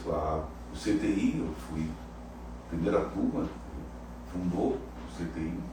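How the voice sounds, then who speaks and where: A man speaks at a very slow pace. Audible room echo and noticeable background noise come through. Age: 80s+. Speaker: cardiologist. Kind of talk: interview. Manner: halting.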